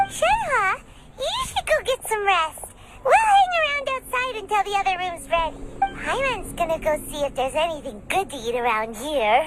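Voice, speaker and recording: In a put-on character voice, someone speaks squeakily at an extremely high pitch with very wide pitch swings and a moderate pace over clear background noise. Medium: machinima. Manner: chatty, upbeat.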